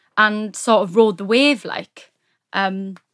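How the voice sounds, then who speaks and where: The recording is very clean and the background silent. A woman talks in a fairly high voice. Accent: South Welsh. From South Wales, Neath. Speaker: actor. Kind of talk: casual chat.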